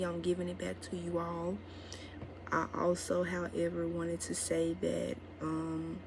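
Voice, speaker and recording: A woman is speaking. Audible echo fills the room. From Mississippi, US South. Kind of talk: casual vlog talk to camera.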